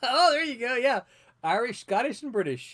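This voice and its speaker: A man with a Southern US accent, a bright, sharp tone and very wide swings in pitch. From US South. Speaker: comic book editor and publisher. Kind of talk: casual chat.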